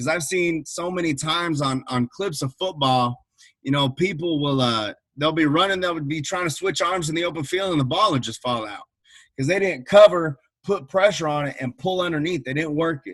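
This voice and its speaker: With an American accent and an energetic tone, a man talks in a fairly high pitch with ordinary pitch variation. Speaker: football coach. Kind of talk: online coaching clinic presentation. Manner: fast.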